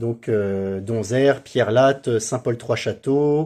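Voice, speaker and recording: A man with a medium-pitched, dark and mellow voice talks at a fairly slow pace with ordinary pitch variation on a very clean recording with a silent background. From France, Seine-et-Marne (Paris region). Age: 30s. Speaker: priest. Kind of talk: interview. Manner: halting, many hesitations.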